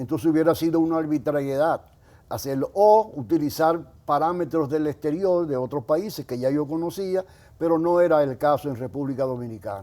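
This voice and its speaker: A man's fairly high voice with a dark, mellow tone and ordinary pitch variation, on a very clean recording with a silent background. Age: 80s+. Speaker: social security economist. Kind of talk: interview.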